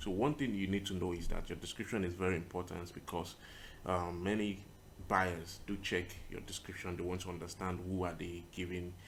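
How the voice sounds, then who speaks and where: Through audible room echo, a man with a very deep, low pitch talks at a fairly quick pace with fairly even intonation. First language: not English. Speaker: tutorial creator, web designer. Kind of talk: screen-recorded tutorial. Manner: casual, with many fillers.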